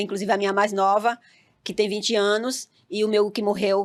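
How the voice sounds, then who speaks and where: A woman's fairly high voice in a northeastern Brazilian accent, fairly quick, with monotone, flat intonation. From Northeast Brazil, Campina Grande, Paraíba. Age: 50s. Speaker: reality TV participant. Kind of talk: interview.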